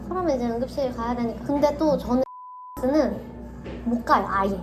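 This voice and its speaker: With music in the background and audible room echo, a woman speaks at a moderate pace in a high voice with ordinary pitch variation. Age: 30s. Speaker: chronic pain patient. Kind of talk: casual chat. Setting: in-person meeting.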